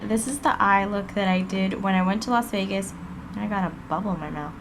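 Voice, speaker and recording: A woman talks fairly slowly in a space with audible room echo and noticeable background noise. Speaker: beauty vlogger. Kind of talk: tutorial.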